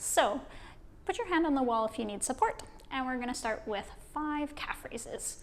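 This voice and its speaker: In a Western Canadian accent, a woman with a high pitch speaks fairly slowly in a calm tone, her pitch swinging very widely. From Vancouver, British Columbia, Canada. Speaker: kinesiologist. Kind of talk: guided exercise instruction. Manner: calm, clear, encouraging.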